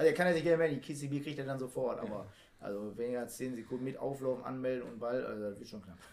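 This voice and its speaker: Over noticeable background noise, a man talks at a very fast pace with a medium pitch, ordinary pitch variation and big swings in loudness. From Oberhausen, Ruhr area, Germany. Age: 30s. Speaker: amateur footballer. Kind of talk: casual chat.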